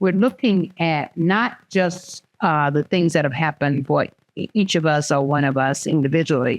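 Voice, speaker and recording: A woman with a very deep, low pitch talks at a moderate pace, the sound dry and close with no echo. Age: 80s+. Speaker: community elder and wellness center leader. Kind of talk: panel discussion. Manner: halting.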